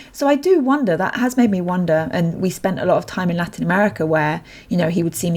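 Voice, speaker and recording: In a British accent, a woman talks at a fairly quick pace with a somewhat breathy voice. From Britain. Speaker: polyglot language teacher. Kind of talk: podcast interview.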